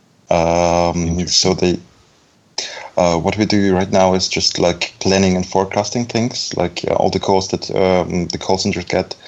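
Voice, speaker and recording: With a very deep, low pitch and monotone, flat intonation, a man talks fairly slowly over noticeable background noise. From Belarus, raised in Germany. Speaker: front-end developer. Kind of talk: casual chat. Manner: halting.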